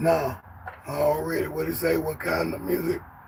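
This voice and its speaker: A man speaks over noticeable background noise. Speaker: musician and songwriter. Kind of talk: casual monologue vlog. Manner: animated.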